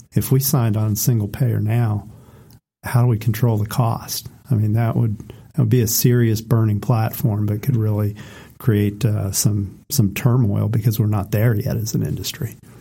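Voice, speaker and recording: Fairly low and somewhat breathy, a man's voice carries a dark, mellow tone with fairly even intonation. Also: moderate pace. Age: 40s. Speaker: podcast co-host. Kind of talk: casual chat.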